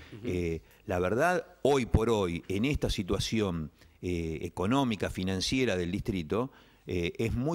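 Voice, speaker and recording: This man's moderate delivery sits against a quiet background. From Argentina. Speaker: local politician. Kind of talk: political interview. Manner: halting, many fillers. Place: studio. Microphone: studio mic.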